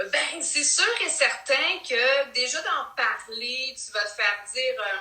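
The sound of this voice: Speaking slowly in a Quebec accent, a woman has a high pitch, a bright, sharp tone and ordinary pitch variation, with audible room echo around her.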